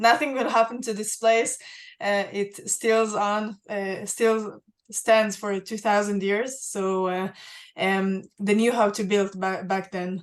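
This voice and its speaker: Speaking with an Israeli accent, a woman uses a medium pitch and fairly even intonation. Her pace is very slow. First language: Hebrew. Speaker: museum access and inclusion head, archaeologist. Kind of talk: Q&A on a virtual guided tour. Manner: halting, many fillers.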